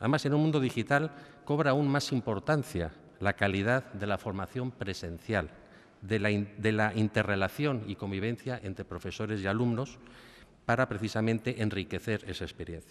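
Using an unremarkable speaking voice, a man talks at a moderate pace. His pitch is fairly low, with ordinary pitch variation. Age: middle-aged. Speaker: bank executive; guest. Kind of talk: formal speech. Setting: university auditorium with audience. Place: hall. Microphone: podium.

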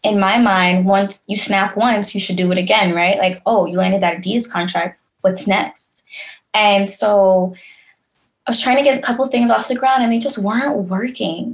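Somewhat breathy and at a medium pitch, a woman with a New York accent talks at a moderate pace with ordinary pitch variation. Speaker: creative agency founder. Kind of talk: casual chat.

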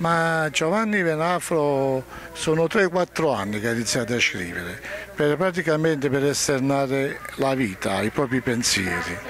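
Very wide pitch swings mark a man's fairly high voice at a fairly slow pace. The sound is dry with no echo, though noticeable background noise is present. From Naples, Scampia. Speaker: poet. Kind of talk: casual interview, poem reading. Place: garden. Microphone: handheld.

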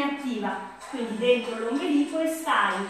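A woman at a fairly slow pace, with strong room echo and clear music in the background. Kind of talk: exercise class instruction. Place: home room. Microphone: camera far.

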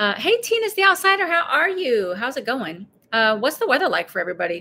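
A woman's raised, projected voice with a bright, sharp tone, very wide pitch swings and a moderate pace. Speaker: vlogger hosting a live stream. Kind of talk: casual live stream chat. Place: home room. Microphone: phone near.

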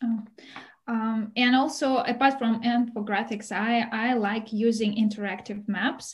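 Speaking with a Russian accent, a woman sounds somewhat breathy at a fairly slow pace, with fairly even intonation. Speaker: visiting scholar, Russian teacher; language teacher presenter. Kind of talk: webinar presentation. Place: home room. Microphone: webcam.

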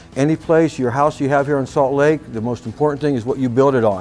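Faint music sits in the background. A man talks with fairly even intonation. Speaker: RV salesperson. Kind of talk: product walk-around presentation. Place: shop. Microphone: lapel.

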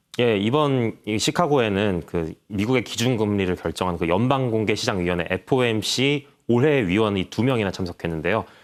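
A man with a plain, everyday voice and fairly low pitch speaks at a moderate pace with lively intonation and very even loudness on a very clean recording with a silent background. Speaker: newspaper reporter. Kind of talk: interview.

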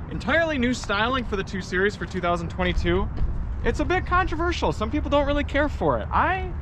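A man talks at a fairly quick pace over noticeable background noise. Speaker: car reviewer host. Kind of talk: live stream car walkaround commentary. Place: street.

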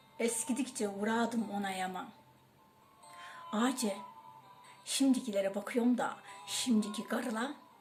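The speaker's intonation is fairly even, with long, frequent pauses. Music plays in the background. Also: woman, fairly high pitch for a woman, fairly slow pace. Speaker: poet. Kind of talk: poetry reading.

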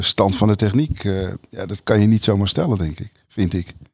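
At a moderate pace, a man speaks with fairly low pitch in a very clean recording with a silent background. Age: 50s. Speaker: people manager and organisational development consultant. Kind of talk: casual chat. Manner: halting, many fillers and repetitions.

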